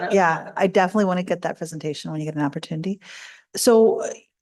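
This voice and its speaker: Over a quiet background, a woman with a Canadian accent speaks in a fairly low pitch. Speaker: city councillor. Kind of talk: council meeting Q&A. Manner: fast.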